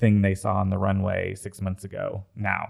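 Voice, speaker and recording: The recording is very clean, with a silent background. A man speaks at a moderate pace and a fairly low pitch. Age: 30s. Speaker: fashion designer. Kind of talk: interview.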